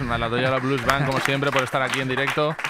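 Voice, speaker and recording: Crowd noise fills the background while a man speaks at a very fast pace, the sound dry with no echo. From Valencia, Spain; Spain. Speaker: comedian and show host; comedian, show host. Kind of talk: comedy talk show. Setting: radio studio with live audience. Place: studio. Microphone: studio mic.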